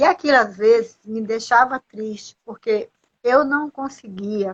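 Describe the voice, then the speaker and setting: A woman with a high voice speaks at a moderate tempo, her pitch varying in an ordinary way. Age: 60s. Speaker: motivational speaker. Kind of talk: live stream interview. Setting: live video call. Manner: halting.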